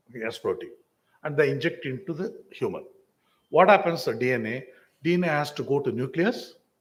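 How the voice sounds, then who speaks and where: Audible room echo hangs around a man's fairly high voice. He speaks at a moderate pace with ordinary pitch variation. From India, Tamil Nadu. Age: 60s. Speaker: vaccine company executive. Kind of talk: lecture Q&A.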